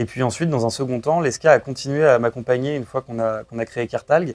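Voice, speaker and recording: A man at medium pitch speaking at a very fast pace, with a dry, close sound and no echo. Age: 20s. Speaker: startup co-founder. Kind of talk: interview. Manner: hesitant, frequent fillers.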